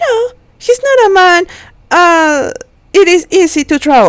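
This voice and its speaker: Speaking at a fairly slow pace with a non-native accent, a woman uses an extremely high pitch that moves in very wide swings. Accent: non-native, weak pronunciation. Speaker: amateur audiobook reader. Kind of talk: reading aloud. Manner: halting, with self-corrections.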